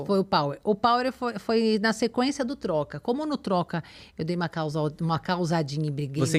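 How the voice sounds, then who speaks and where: The voice swings very widely in pitch. The recording is very clean, with a silent background. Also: woman, medium pitch for a woman, moderate pace. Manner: harsh and curt.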